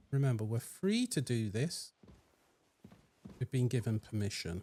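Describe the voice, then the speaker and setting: A man with a medium pitch speaks at a moderate pace in a dark, mellow, somewhat breathy tone, with ordinary pitch variation and a dry, close sound with no echo. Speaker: gaming youtuber. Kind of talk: game walkthrough commentary. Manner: casual, conversational.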